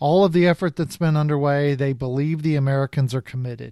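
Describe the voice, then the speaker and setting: Over a quiet background, a man speaks in a normal speaking voice, fairly high in pitch, at a moderate pace with ordinary pitch variation. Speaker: podcast host. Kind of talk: casual expert discussion.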